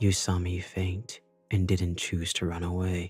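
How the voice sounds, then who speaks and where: Faint music plays behind a man doing a put-on character voice, very deep and low in pitch, monotone and flat, at a moderate pace. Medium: read story. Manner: flat, monotone.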